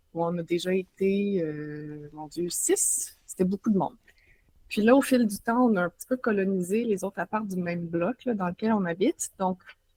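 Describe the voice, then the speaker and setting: A somewhat breathy woman with a Quebec accent, medium pitch, ordinary pitch variation, moderate pace, big swings in loudness and a dry, close sound with no echo. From Quebec, Montreal. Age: 30s. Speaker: journalist and author. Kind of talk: casual interview. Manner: hesitant, many fillers.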